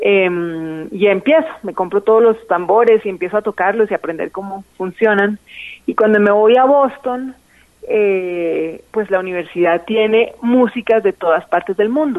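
Using a plain, everyday voice, a woman speaks at a fairly slow pace with medium pitch and ordinary pitch variation. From Colombia, Bogotá. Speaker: singer and musician. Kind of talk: interview.

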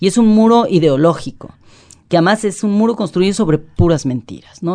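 Her tone is dark and mellow, and her pitch varies in an ordinary way. The woman speaks at a fairly quick pace. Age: 50s. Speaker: journalist and human rights activist. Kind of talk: interview.

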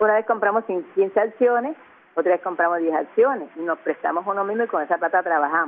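With lively intonation, a woman speaks in a normal speaking voice at a medium pitch. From Caribbean coast of Colombia, La Boquilla near Cartagena. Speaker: artisan and community leader. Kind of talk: interview.

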